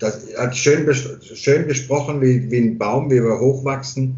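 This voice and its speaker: A man's somewhat breathy voice at a fairly slow pace, with monotone, flat intonation. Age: 50s. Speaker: barber and hairdresser. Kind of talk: casual chat.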